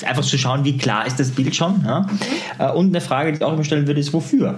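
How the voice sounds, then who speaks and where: Audible room echo and noticeable background noise surround a man whose pitch varies normally. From Austria. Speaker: psychologist and NLP trainer. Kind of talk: interview.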